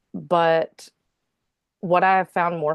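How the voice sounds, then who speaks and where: Against a quiet background, a woman speaks at a fairly low pitch with a Southern US accent. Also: dry, close sound with no echo. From North Carolina. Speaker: singer-songwriter. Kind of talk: interview. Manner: casual, hesitant with fillers.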